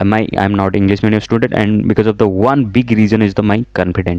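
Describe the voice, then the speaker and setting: A man with an Odisha accent and a fairly low voice. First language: Odia. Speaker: software engineer and YouTuber. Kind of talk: personal story vlog. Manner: halting.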